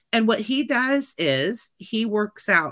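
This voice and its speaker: Bright and sharp in tone, a woman with a Midwestern American accent talks in an animated way on a very clean recording with a silent background. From Kansas City, Missouri. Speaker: teacher and comedian. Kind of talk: interview.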